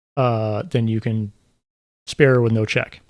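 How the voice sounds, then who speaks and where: A man does the talking. Behind him the background is silent, and the recording is very clean. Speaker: gaming YouTuber streaming. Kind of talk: live stream Q&A. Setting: live stream. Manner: casual, halting with fillers; may mumble when talking normally. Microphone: new mic with noise gate, drinking sounds may come through.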